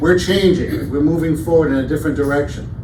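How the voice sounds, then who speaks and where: A man's fairly high voice with a New York accent and ordinary pitch variation, plus audible room echo and noticeable background noise. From Brooklyn, New York. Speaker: campus safety director. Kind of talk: town hall presentation.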